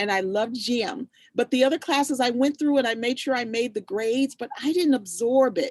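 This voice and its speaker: Speaking at a moderate pace in an animated tone, a woman with a high pitch and ordinary pitch variation sounds dry and close, with no echo. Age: 60s. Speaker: youth program host and farm owner. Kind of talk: casual chat on video call. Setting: video call.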